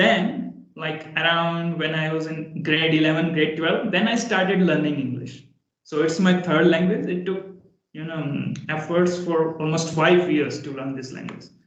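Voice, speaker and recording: In an Indian accent, a man with a fairly high pitch talks at a fairly slow pace with fairly even intonation, with audible room echo around him. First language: Hindi. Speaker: English conversation practice partner. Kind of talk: casual chat.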